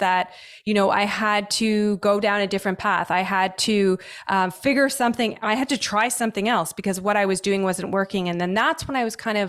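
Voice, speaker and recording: On a very clean recording with a silent background, a woman with a Canadian accent talks at a fairly quick pace in a normal speaking voice of medium pitch. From Canada. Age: 40s. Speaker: holistic nutritionist. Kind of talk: podcast interview.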